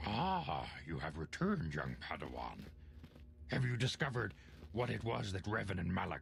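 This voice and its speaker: A man uses a put-on character voice at a very deep, low pitch. His pitch swings very widely over clear background noise. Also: moderate pace. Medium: video game. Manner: solemn, measured.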